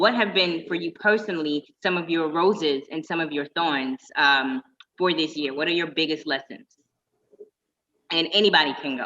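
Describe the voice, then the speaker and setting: This woman has a normal speaking voice with a fairly low pitch and ordinary pitch variation. Her pace is moderate. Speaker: panel moderator. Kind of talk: panel discussion.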